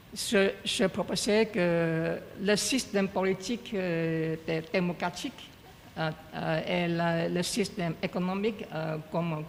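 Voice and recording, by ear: The speaker has a strong non-native accent and ordinary pitch variation. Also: man. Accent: heavy foreign accent in French.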